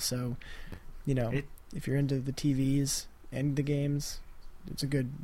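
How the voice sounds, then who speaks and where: His tone is dark and mellow. The man's voice also sounds somewhat breathy. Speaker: podcast host. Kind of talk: casual chat.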